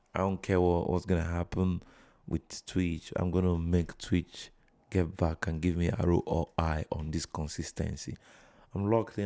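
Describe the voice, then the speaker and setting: With a Nigerian accent, a man speaks in a very deep, low pitch and a dark, mellow tone, his intonation monotone and flat, the sound dry and close with no echo in a very clean recording over a silent background. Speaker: live streamer. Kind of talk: casual live stream chat.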